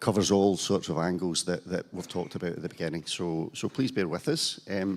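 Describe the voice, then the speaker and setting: A man with a very deep, low pitch talks at a very fast pace with ordinary pitch variation on a very clean recording with a silent background. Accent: Scottish. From Scotland, Glasgow. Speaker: panel moderator, cancer charity chief executive, nurse. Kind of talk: conference panel moderation. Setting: conference hall with audience. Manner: hesitant, many fillers.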